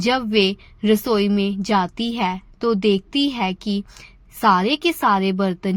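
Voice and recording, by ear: Here a woman talks at a slow pace with a medium pitch.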